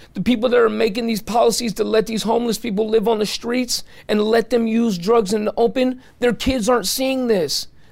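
This man speaks with an American accent at a fairly quick pace. His voice is high-pitched for a man and animated in tone. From San Francisco, California. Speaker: former drug addict turned homelessness advocate and videographer. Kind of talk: interview, personal testimony.

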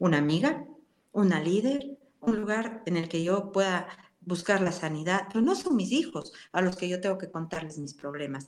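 The woman talks at a moderate pace. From Ecuador, Cuenca. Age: 60s. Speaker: pastor. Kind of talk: interview.

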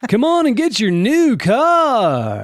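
A man puts on a character voice pitched high. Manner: pushy, enthusiastic.

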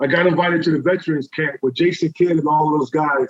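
With a New York accent, a man talks at a fairly quick pace in a dry, close sound with no echo. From New York City. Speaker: former streetball player. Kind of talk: casual interview.

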